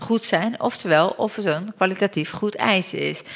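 A woman's medium-pitched voice with vocal fry, ordinary pitch variation, and a fairly slow pace. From Turkey. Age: 40s. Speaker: mother sharing her birth story. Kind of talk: testimony.

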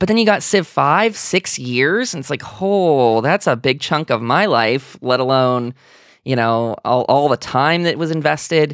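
In a very clean recording with a silent background, a man uses a normal speaking voice at fairly high pitch, with lively intonation and a fairly slow pace. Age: 20s. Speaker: video game podcast host. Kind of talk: casual chat.

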